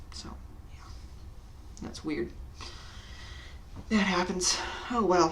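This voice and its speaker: The voice is quiet and very slow, with long, frequent pauses. Noticeable background noise runs underneath. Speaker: programming tutorial youtuber. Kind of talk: tutorial. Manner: uneven volume.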